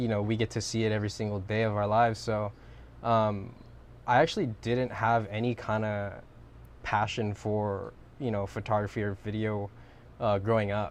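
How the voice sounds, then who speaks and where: Fairly low-pitched man at a moderate pace, in a monotone, flat intonation. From Hawaii, Molokai. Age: 20s. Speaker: filmmaker and photographer. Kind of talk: podcast interview. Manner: casual, many fillers.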